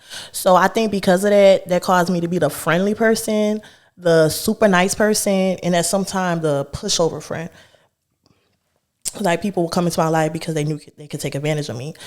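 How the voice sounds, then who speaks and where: A woman speaks with a fairly low pitch and ordinary pitch variation. Her tone is animated. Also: fairly quick pace. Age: 20s. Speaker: podcast host. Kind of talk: casual chat.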